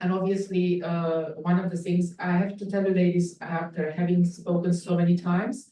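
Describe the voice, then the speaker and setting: A woman with a non-native accent speaks at a moderate pace with hardly any pauses, her fairly low, somewhat breathy voice dark and mellow in tone and monotone, flat in intonation. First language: not English. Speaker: event host. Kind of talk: event moderation. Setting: hotel event with audience.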